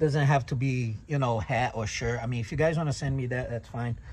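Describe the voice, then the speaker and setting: His voice is somewhat breathy and sits at a medium pitch for a man. The man's pitch varies in an ordinary way. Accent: Brazilian. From Brazil. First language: Portuguese. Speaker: tow truck owner and vlogger. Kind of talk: casual tutorial. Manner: halting, many fillers.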